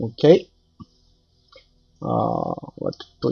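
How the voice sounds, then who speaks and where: A man talks at a very slow pace with music in the background. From Brazil. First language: Portuguese. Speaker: 3D artist. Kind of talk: tutorial. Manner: halting, many fillers.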